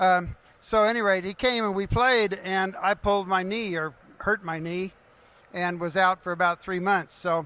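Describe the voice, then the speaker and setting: In a raised, projected voice with a bright, sharp tone, a man speaks at a high pitch with fairly even intonation. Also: moderate pace. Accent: American. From Kansas City area. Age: 70s. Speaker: pickleball coach. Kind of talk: panel discussion. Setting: stage with audience.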